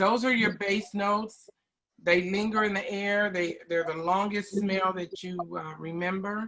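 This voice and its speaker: Intonation is fairly even. The tempo stays fairly slow. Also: woman, medium pitch for a woman. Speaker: beauty product sales trainer. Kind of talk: online training session. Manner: loud.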